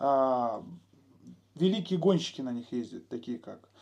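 A man's dark, mellow tone with very wide pitch swings. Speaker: enduro video channel host. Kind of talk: casual chat interview. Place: garage. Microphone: poor sound.

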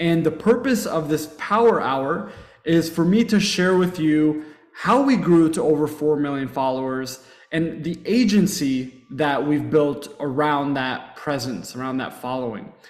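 Audible room echo surrounds a man who talks at a fairly slow pace. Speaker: webinar presenter. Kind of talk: webinar presentation. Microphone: webcam.

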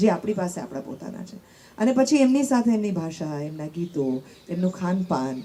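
Very wide pitch swings mark this voice, heard over noticeable background noise. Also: woman. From Gujarat. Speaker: radio jockey. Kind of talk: panel discussion.

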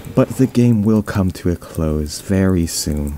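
A man at a very slow pace, ordinary pitch variation, noticeable background noise. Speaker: gaming commentator. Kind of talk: quiet gameplay commentary.

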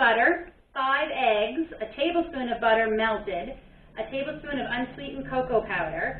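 There is audible room echo around a woman speaking at a high pitch. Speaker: home cook vlogger. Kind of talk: cooking tutorial. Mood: cheerful, a bit unsure. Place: kitchen. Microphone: phone near.

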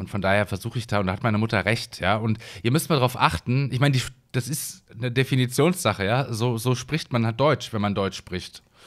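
On a very clean recording with a silent background, a man with a plain, everyday voice talks at a fairly quick pace and medium pitch with ordinary pitch variation. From Hesse, Germany. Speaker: gaming YouTuber. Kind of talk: let's play commentary. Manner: casual, rambling with many fillers.

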